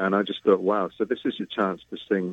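A man with a British accent and a fairly low pitch speaks fairly quickly. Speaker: bass baritone singer. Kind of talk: interview conversation. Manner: hesitant, many fillers.

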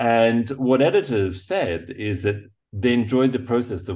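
A man talks with a dark, mellow tone that is somewhat breathy. His pitch varies in an ordinary way over a quiet background. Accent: English. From England. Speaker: photojournalist. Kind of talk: interview. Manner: halting.

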